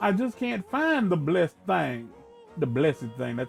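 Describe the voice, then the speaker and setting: In a put-on character voice with a Southern US accent, a man drawls at a moderate pace and a fairly high pitch, with very wide pitch swings and music in the background. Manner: drawn-out vowels, drawl.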